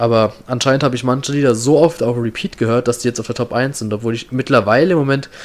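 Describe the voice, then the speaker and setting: A man rattles off words very fast, his medium pitch moving with ordinary variation. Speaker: podcast host. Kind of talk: casual chat.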